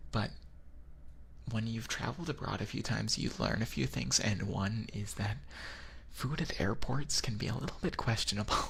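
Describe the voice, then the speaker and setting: Vocal fry colors a man's speech as he moves at a moderate pace with very wide pitch swings and long, frequent pauses. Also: fairly low pitch for a man. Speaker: vtuber. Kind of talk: ASMR boyfriend roleplay.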